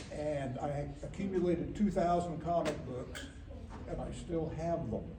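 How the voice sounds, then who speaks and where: Speech comes at a fairly slow pace with fairly even intonation and an American accent. Noticeable background noise and audible room echo are present. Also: man, high pitch for a man. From Oklahoma, US. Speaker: cartoonist. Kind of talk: talk to a young audience about his career.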